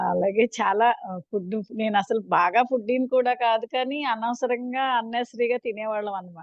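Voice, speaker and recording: A woman's fairly high voice keeps a fairly even intonation while her loudness swings widely. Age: 60s. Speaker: school teacher. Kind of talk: participant testimonial. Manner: hesitant, with fillers.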